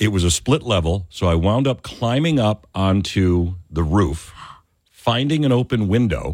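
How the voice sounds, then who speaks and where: An American accent carries this man's unremarkable speaking voice, fairly low in pitch, with lively intonation at a fairly slow pace. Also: very even loudness. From upstate New York. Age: 50s. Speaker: fill-in radio talk show host. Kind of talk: call-in talk radio.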